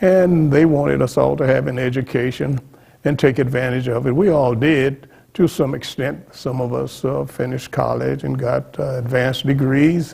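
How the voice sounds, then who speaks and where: The delivery moves at a moderate pace with fairly even intonation. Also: man, medium pitch for a man. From central Texas, Austin area. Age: 80s+. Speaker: Freemason lodge past master. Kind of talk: oral history interview. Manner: halting, self-correcting.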